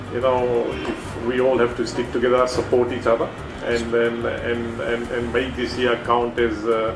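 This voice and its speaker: Music plays in the background and room echo is audible as a man with a Fijian accent speaks at a moderate pace, medium in pitch and monotone and flat in intonation. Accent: unique Fijian. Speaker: brand executive. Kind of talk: interview. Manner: halting, many fillers.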